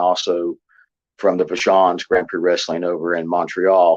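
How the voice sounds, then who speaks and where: Here is a man with a West Virginia accent. His pitch is very deep and low. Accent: Southern drawl, West Virginia. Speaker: professional wrestler and actor. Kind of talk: interview. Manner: halting, many fillers.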